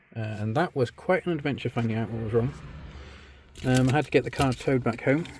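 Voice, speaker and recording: Speaking at a very fast pace with long, frequent pauses, a man uses a medium pitch with ordinary pitch variation. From Britain. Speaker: car enthusiast video maker. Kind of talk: casual walkthrough tutorial. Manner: halting, many fillers.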